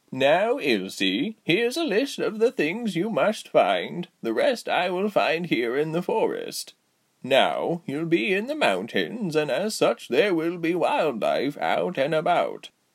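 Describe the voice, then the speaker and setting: A man doing a put-on character voice, high in pitch. He speaks at a fairly slow pace with hardly any pauses. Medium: audio drama. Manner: warm, motherly, instructive.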